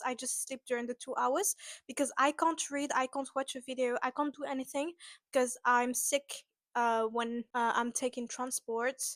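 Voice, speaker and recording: Heard in a dry, close sound with no echo, a woman with a French accent speaks at a high pitch and moderate pace with fairly even intonation. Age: 20s. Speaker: vlogger. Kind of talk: casual storytelling vlog. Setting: at home in apartment. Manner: hesitant, many fillers.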